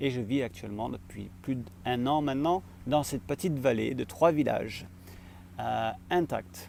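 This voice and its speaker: With vocal fry and very wide pitch swings, a man at a medium pitch speaks at a fairly slow pace. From France. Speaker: vlogger and social entrepreneur. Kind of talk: vlog monologue to camera. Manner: hesitant, many filler pauses.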